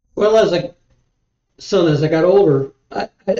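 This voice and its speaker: A man with a Midwestern US accent, his tone dark and mellow, at a moderate pace. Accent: US Midwest. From Ohio. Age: 60s. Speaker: football fan, host's father. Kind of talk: casual chat. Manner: halting.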